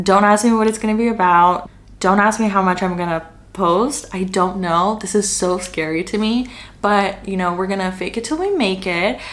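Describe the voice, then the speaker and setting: Audible room echo carries a woman's medium-pitched voice at a moderate pace with fairly even intonation. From Canada, Greater Toronto Area. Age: 20s. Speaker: content creator. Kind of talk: casual Q&A vlog.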